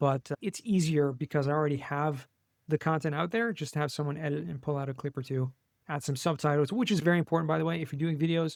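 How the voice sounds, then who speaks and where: A man with an American accent at a very fast pace and fairly high pitch, ordinary pitch variation, dry and close with no echo, on a very clean recording with a silent background. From US West Coast, Los Angeles. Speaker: tax savings specialist, podcast guest. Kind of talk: interview.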